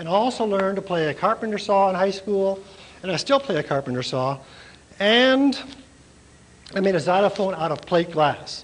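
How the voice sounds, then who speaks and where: Speaking with an American accent, a man uses a high pitch and lively intonation at a fairly quick pace. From US Midwest, Minnesota. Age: 60s. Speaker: artist and art professor. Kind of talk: informal demonstration talk. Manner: halting, with fillers.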